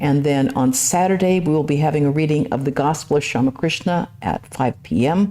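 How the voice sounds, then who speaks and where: Over noticeable background noise, a woman with a very deep, low pitch talks at a fairly quick pace with lively intonation, very even loudness and hardly any pauses. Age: 60s. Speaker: nun and lecturer. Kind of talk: lecture Q&A and announcements. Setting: temple.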